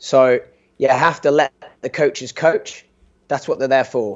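Speaking at a moderate pace, a man with a British accent has a fairly high pitch. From UK. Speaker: sports medicine doctor. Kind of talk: interview. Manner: halting.

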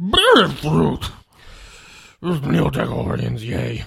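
A put-on character voice growls at a very deep, low pitch and a fairly slow pace.

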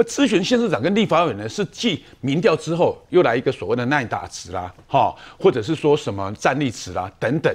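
Against a quiet background, a fairly high-pitched man with vocal fry talks at a fairly quick pace, his pitch swinging very widely. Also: hardly any pauses. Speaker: legislator. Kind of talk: TV political talk show.

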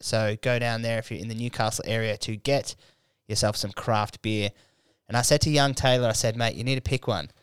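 A medium-pitched man with an Australian accent at a moderate pace. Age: 20s. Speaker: comedian and podcast host. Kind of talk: casual chat. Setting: studio. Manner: animated.

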